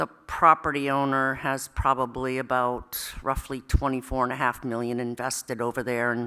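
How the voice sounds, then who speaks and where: A woman with a very deep, low pitch speaks loudly in a bright, sharp tone. Her delivery is fairly slow and monotone, flat in intonation. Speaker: town chief assessor. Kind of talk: public meeting presentation. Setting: town hall meeting room. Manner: hesitant, many fillers.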